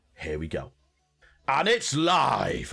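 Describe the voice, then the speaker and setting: Putting on a character voice, a man sounds raspy at a fairly high pitch. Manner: excited play-by-play announcing.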